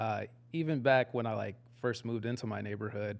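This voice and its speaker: At a moderate pace and medium pitch, a man with a Texan accent speaks in fairly even intonation. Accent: Texan American English. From Texas, Dallas. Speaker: community organizer. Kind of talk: casual interview chat.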